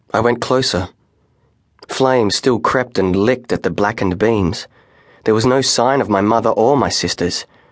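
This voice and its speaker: In a plain, everyday voice, a man with a medium pitch talks at a moderate pace with ordinary pitch variation and very even loudness. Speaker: audiobook narrator. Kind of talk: first-person dramatic audiobook narration of a fantasy novel, building dread. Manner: measured, hushed storytelling that tightens with suspense; vivid, atmospheric pacing lingering on sensory detail.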